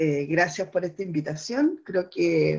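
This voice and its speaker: Speaking at a fairly slow pace, a woman has a fairly low pitch and a plain, everyday voice. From southern Chile. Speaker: poet and teacher. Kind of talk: interview. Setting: remote from home.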